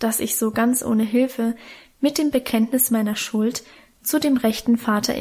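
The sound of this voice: What you hear is an unforced reading voice.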